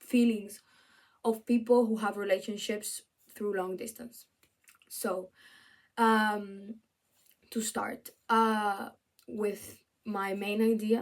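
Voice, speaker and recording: A woman speaks very slowly in a fairly high, flat monotone with a Spanish accent, leaving long, frequent pauses. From Venezuela, then Spain from age 13. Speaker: student. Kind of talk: video essay presentation. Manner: halting, with fillers and restarts.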